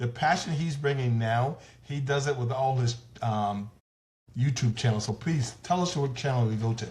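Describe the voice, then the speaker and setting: A somewhat breathy voice speaks with an American accent. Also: man, medium pitch for a man, ordinary pitch variation, moderate pace. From US South. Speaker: talk show host. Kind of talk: interview.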